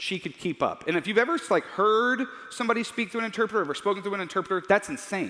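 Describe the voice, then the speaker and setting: Raising and projecting his high voice, a man talks at a very fast pace in an animated tone. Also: ordinary pitch variation. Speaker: Bible teacher. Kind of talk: lecture.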